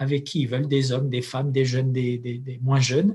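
Somewhat breathy, a man speaks at a fairly quick pace with a medium-pitched voice. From Algeria. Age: 40s. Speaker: imam and anthropologist. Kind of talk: interview. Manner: halting.

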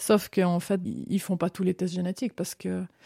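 A dark, mellow tone moves at a fairly quick pace. The sound is dry and close with no echo, in a very clean recording with a silent background. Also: woman. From Switzerland, Vaud (Vevey, Lausanne). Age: 40s. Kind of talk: personal testimony interview.

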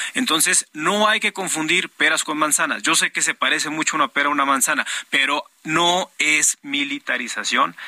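A man with an unremarkable speaking voice, fairly high in pitch, talks at a moderate pace with ordinary pitch variation, very even loudness, hardly any pauses, and a dry, close sound with no echo. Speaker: politician. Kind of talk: political debate.

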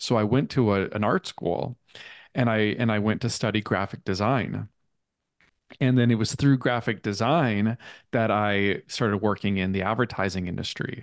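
Against a quiet background, a man with an American accent and an unremarkable speaking voice speaks at a moderate pace, his fairly low pitch showing ordinary pitch variation. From US Midwest, Minnesota. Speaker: author and artist. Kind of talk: interview.

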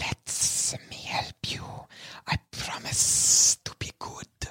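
A whispered put-on character voice at a very slow pace. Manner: coaxing, insinuating.

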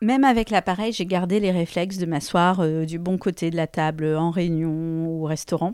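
A woman talks at a moderate pace with fairly low pitch, ordinary pitch variation and hardly any pauses. The recording is very clean, with a silent background. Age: 40s. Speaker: person with hearing loss sharing her story. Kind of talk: personal testimony. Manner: hesitant, with many fillers and repeated words.

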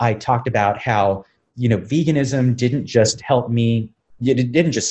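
With ordinary variation in pitch, a man's voice comes out somewhat breathy. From South Texas border town, Brownsville. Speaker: vegan chef and animal advocate. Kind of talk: interview conversation.

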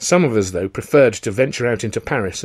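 Someone is reading aloud in a natural voice. The delivery stays just that way throughout.

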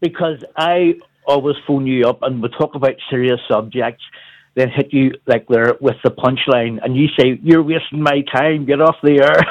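A man with a Northern Irish accent, fairly high-pitched, at a moderate pace with fairly even intonation, in a dry, close sound with no echo. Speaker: caller. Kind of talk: radio phone-in chat. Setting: phone call. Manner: jokey.

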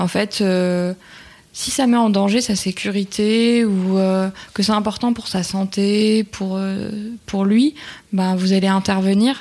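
A woman speaks very slowly at a medium pitch, leaving long, frequent pauses. Her tone is dark and mellow, and her intonation fairly even. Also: very clean recording, silent background. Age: 20s. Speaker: web developer and stepmother. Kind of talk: casual interview.

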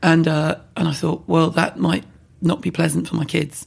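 A woman with a London accent speaks with vocal fry. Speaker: beauty brand founder and online personality. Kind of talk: casual interview. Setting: in-person recording.

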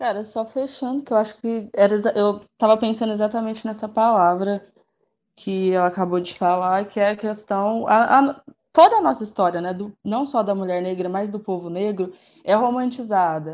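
Here is a woman with an unremarkable speaking voice. She talks at a moderate pace and a medium pitch. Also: ordinary pitch variation. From Brazil, interior of São Paulo state. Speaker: physiotherapist. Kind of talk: casual discussion.

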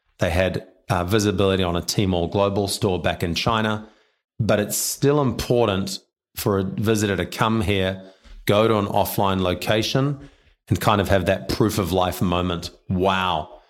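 Over a silent background on a very clean recording, the speaker talks at a moderate pace in a New Zealand accent, with fairly even intonation and very even loudness. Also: man, fairly low pitch for a man. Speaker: payments company director. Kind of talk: interview.

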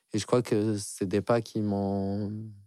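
In a very clean recording with a silent background, a man speaks in a dark, mellow tone. His pace is fairly slow. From Algeria. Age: 30s. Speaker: artist and musician. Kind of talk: personal story interview. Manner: hesitant, many fillers.

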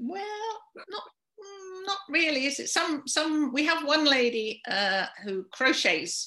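A woman projects her voice in a southern English accent at a very slow pace. Her high pitch swings very widely. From London, England. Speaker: charity volunteer organiser. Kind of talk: casual interview.

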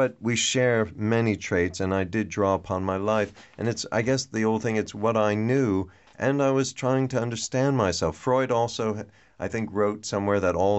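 An ordinary speaking voice at a moderate pace, with ordinary pitch variation and very even loudness. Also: man. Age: 50s. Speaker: novelist and TV writer. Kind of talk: interview.

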